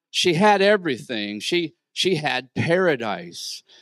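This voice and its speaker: A man speaks at a very slow pace over a quiet background, the sound dry with no echo. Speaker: preacher. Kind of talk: sermon. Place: church. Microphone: handheld.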